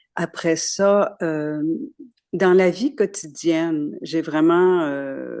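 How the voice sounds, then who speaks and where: A dark, mellow tone with fairly even intonation, in a dry, close sound with no echo. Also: woman. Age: 80s+. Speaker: participant. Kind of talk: personal testimony.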